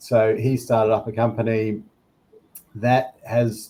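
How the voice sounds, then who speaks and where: A man speaks with a New Zealand accent at a medium pitch. His tone is dark and mellow, his intonation monotone and flat. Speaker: product director at a tech company. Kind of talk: panel discussion.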